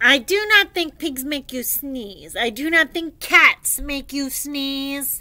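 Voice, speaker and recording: A woman puts on a character voice, talking high in pitch and fairly slowly. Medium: read story. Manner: calm, matter-of-fact.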